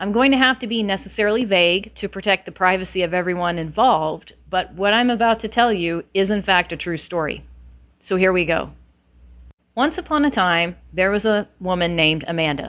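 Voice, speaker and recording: A woman with an unremarkable speaking voice at a moderate pace and ordinary pitch variation. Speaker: podcast host, career consultant. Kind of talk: bedtime-style storytelling, 'once upon a time' fairy-tale narration. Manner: conversational and opinionated when not telling the story.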